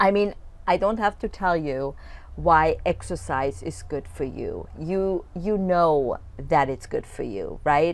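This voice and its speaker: Very slowly, a woman with a non-native accent speaks in a very clean recording with a silent background. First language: not English. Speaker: fitness coach. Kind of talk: video coaching talk. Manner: casual, with frequent fillers and restarts.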